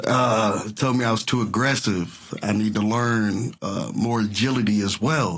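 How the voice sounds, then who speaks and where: A man with a slight Southern US accent speaks at a fairly slow pace and a fairly low pitch. His intonation is fairly even, his loudness very even, and there is noticeable background noise. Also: hardly any pauses. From US South (Texas and Mississippi). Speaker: entertainer. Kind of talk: casual interview chat.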